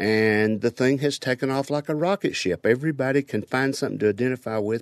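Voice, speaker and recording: A man with an Appalachian accent, medium-pitched, at a moderate pace with lively intonation, in dry, close sound with no echo and a quiet background. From Kentucky, Harlan County. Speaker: documentary photographer. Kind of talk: interview.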